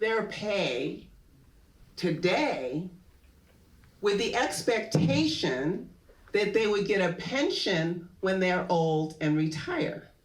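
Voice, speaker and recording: A woman speaks with an American accent, and there is audible echo from the room. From New Haven, Connecticut, US. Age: 70s. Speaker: professor. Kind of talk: public talk, onstage conversation.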